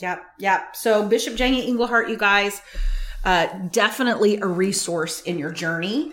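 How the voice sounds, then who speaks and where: A woman speaks at a medium pitch and a moderate pace, with ordinary pitch variation. Noticeable background noise runs behind her. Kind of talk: prayer then interview.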